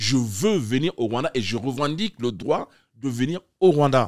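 Against a quiet background, a man talks very slowly with lively intonation. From Chad. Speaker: artistic director of a literary festival; guest. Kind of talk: interview. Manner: halting, many hesitations. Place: studio. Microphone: studio mic.

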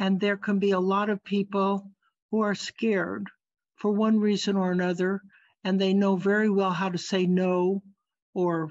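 Over a quiet background, a woman talks at a very slow pace. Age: 80s+. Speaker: artist giving a keynote talk. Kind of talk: lecture. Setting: video call. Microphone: video call.

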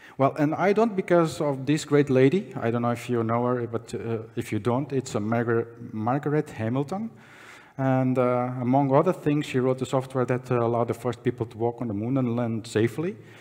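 At a fairly quick pace, a man talks with ordinary pitch variation over a quiet background. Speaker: conference speaker. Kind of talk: conference talk. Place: hall. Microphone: podium.

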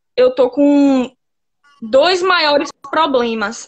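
Speaking very slowly, a woman with a high voice is heard over a quiet background. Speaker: caller seeking advice. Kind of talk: personal confession to a pastor. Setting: video call on phone. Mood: troubled, soft, earnest. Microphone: phone near.

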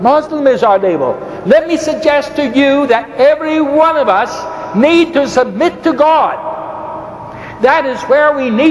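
Noticeable background noise runs behind a man talking at a very slow pace. His pitch is extremely high. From Ireland. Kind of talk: debate. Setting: stage with audience.

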